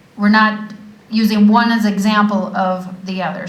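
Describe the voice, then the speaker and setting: A woman's medium-pitched, monotone, flat delivery at a fairly slow pace, with audible room echo and noticeable background noise. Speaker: mayor. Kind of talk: council meeting.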